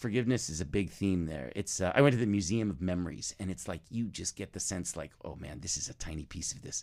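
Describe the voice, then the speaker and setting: This is a man speaking. His pitch is very deep and low. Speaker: podcast creator and talent manager. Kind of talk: casual interview about his podcast.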